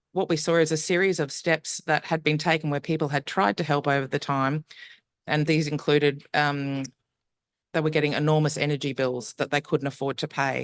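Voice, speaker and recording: Against a quiet background, the speaker talks at a moderate pace with an Australian accent. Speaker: urban energy researcher / panelist. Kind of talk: conference panel presentation. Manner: hesitant, many fillers (um).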